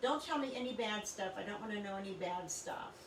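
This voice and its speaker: Through audible room echo and noticeable background noise, a woman speaks with ordinary pitch variation. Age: 60s. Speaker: psychic reader. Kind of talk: live stream introduction talk. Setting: home recording studio, live broadcast. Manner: hesitant, many fillers.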